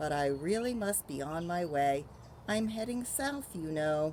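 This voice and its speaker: Over clear background noise, a woman puts on a character voice, fairly low in pitch, with very wide pitch swings. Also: moderate pace. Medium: read story. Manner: breezy, self-assured.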